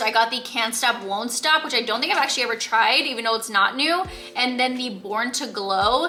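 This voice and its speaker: A woman talks at a fairly quick pace in a high pitch with ordinary pitch variation. Noticeable background noise runs underneath. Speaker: beauty vlogger. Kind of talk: casual vlog haul. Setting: store, handheld vlog camera. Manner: animated; fast.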